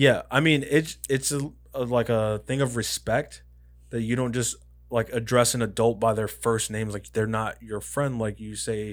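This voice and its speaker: In a very clean recording with a silent background, a man with a plain, everyday voice speaks at a medium pitch and moderate pace, his intonation fairly even. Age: 30s. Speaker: podcast co-host. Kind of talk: casual chat.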